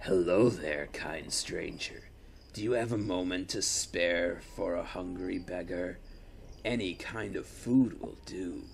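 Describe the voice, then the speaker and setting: Over clear background noise, a man does a raspy, put-on character voice, very deep and low, at a fairly slow pace. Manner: pleading.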